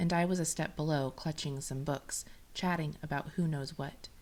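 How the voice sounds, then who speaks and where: A woman with an unremarkable speaking voice and a fairly low pitch talks at a moderate pace. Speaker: podcast host. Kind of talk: reading personal story aloud.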